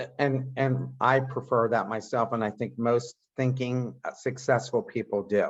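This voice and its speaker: The delivery is fairly slow, with hardly any pauses. Intonation stays monotone and flat. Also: man, medium pitch for a man. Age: 60s. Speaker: podcast host and entrepreneur. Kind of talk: interview conversation.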